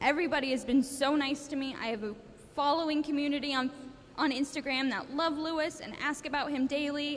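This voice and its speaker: The woman speaking has a high-pitched voice. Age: 20s. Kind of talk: personal testimony. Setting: school assembly with audience. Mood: earnest, emotional, grateful. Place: hall. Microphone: handheld.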